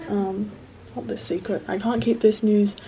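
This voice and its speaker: Mumbling at a moderate pace, a woman talks with a medium pitch and fairly even intonation. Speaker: student. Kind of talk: casual talk to camera. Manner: hesitant, mumbled.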